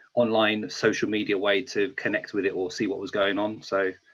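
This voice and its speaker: This man has a strong British accent. His intonation stays monotone and flat. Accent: thick UK. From England, small town outside London. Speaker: beat maker. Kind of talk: interview.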